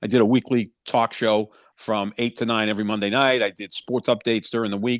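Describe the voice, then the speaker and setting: In a Boston accent, a man speaks at a fairly quick pace with monotone, flat intonation, recorded dry and close with no echo. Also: quiet background. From Boston, Massachusetts. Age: 60s. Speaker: sports journalist and broadcaster. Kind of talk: casual interview chat.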